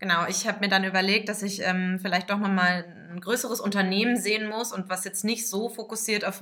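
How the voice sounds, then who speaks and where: A woman's bright, sharp voice, medium in pitch, with fairly even intonation. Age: 20s. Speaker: marketing communications specialist. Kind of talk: podcast interview.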